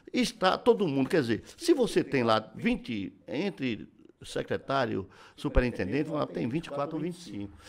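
With vocal fry and a fairly high pitch, a man speaks at a fairly slow pace while his pitch swings very widely. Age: 70s. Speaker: businessman and former politician. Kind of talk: casual chat.

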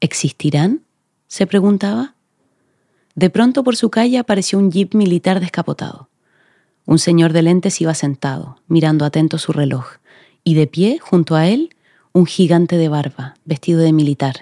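On a very clean recording with a silent background and a dry, close sound with no echo, a woman speaks in a dark, mellow tone at a fairly low pitch, with lively intonation, a moderate pace and long, frequent pauses. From Chile, Magallanes region. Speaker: actress. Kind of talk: reading aloud.

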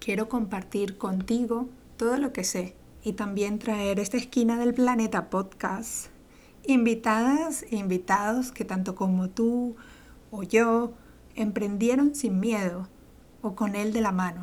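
Very slowly, a woman with a fairly high pitch talks with ordinary pitch variation. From Venezuela. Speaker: podcast host, entrepreneur coach. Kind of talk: monologue podcast intro. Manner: enthusiastic.

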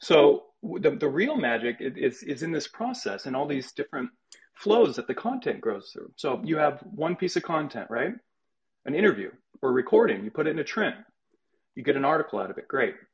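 Very wide pitch swings run through speech delivered at a fairly quick pace. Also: man, fairly high pitch for a man. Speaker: media producer and former podcast host. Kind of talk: casual group chat. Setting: online video call and audio room. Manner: measured, steady cadence.

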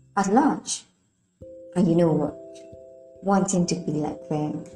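The tone is warm. Music plays in the background. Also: woman. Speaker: podcast host. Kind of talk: informal, preacherly. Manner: warm, effusive.

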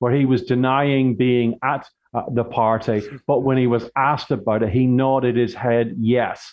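With a British accent, a man speaks at a moderate pace and medium pitch with fairly even intonation. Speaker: body language expert and author. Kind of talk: radio interview.

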